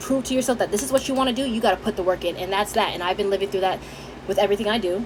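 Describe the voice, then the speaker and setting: Over noticeable background noise, a woman speaks at a medium pitch in an animated tone, her pitch varying in an ordinary way. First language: Haitian Creole. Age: 20s. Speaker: vlogger. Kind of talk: casual chat.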